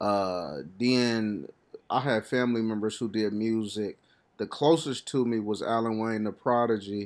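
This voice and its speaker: The speech shows ordinary pitch variation on a very clean recording with a silent background. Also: man, medium pitch for a man. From Kansas City, Missouri. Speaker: hip hop artist. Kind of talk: casual chat.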